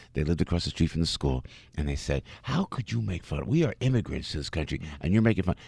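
Very fast and animated, a man speaks with very wide pitch swings in a dry, close sound with no echo. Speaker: entertainer and former radio personality. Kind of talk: interview. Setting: studio.

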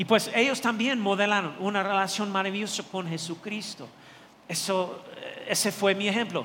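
Over noticeable background noise and audible room echo, a man speaks in a high-pitched voice. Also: fairly even intonation, moderate pace. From not from Mexico. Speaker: pastor. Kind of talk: sermon. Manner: halting.

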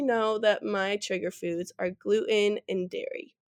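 With an American accent and an unremarkable speaking voice, a woman talks at a fairly slow pace and fairly high pitch, with ordinary pitch variation on a very clean recording with a silent background. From Wisconsin, near Madison. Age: 20s. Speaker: college student and food blogger. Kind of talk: interview.

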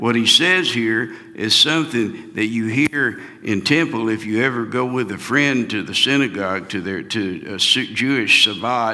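Speaking fairly slowly with hardly any pauses and ordinary pitch variation, a man is heard over noticeable background noise. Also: medium pitch for a man. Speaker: pastor. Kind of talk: round table Bible discussion. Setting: church.

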